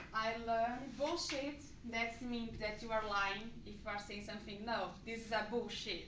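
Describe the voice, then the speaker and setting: With audible room echo, a woman speaks at a fairly slow pace in a fairly high pitch, keeping her intonation fairly even. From Brazil. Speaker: English language student. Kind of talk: class presentation, movie review. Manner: halting.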